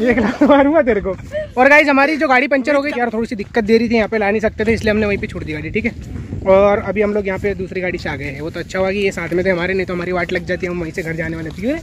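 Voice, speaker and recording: A man's high voice at a very fast pace, dry with no echo, over noticeable background noise. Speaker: travel vlogger. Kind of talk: casual vlog chat. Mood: playful, joking with friends. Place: forest. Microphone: phone near.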